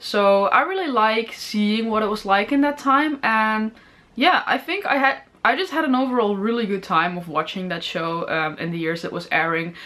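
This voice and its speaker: A woman's bright, sharp, fairly high voice with a Dutch accent, moderate pace and very wide pitch swings. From Netherlands. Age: 20s. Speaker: film review YouTuber. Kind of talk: informational talk to camera.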